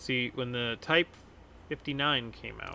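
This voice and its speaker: A man with an American accent speaks at a medium pitch with vocal fry. His pace is fairly slow. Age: 30s. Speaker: gaming streamer. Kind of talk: casual gameplay commentary.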